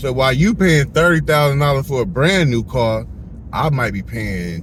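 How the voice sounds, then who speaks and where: A man speaks in an animated tone at a moderate pace. Audible echo fills the room. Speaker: car rental business owner and podcast host. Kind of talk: casual chat.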